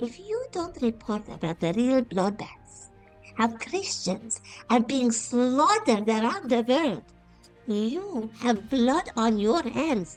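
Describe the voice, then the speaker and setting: A put-on character voice at a fairly slow pace, with faint music in the background. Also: female-sounding voice, high pitch for a woman. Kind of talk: opinion monologue to camera. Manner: scolding, indignant.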